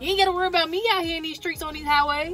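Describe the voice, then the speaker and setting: Music plays in the background. A woman speaks in a raised, projected voice with an animated tone. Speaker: truck driver. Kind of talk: casual vlog talk. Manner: loud.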